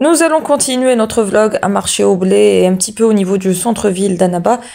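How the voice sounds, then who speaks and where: Medium pitch from a woman with a dark, mellow tone at a moderate pace. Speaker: vlogger. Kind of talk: vlog voice-over narration. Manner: hesitant with fillers.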